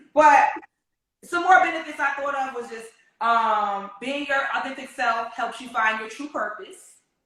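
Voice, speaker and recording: The tone is bright and sharp, with lively intonation and big swings in loudness. The pace is moderate, and room echo is audible. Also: woman. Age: 30s. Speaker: podcast host. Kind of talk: casual chat. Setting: video recording.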